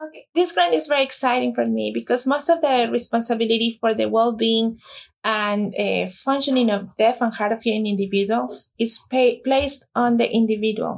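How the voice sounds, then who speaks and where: A woman talks at a moderate pace in a fairly high voice with an ordinary amount of pitch movement. She has a Spanish accent. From Mexico. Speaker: nonprofit founder. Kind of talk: interview. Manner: halting, many fillers.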